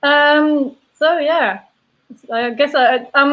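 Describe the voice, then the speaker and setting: A woman speaks at a high pitch with a Belgian accent. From Belgium (Mons, French-speaking south). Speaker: brewery sales and taproom manager. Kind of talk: casual interview chat.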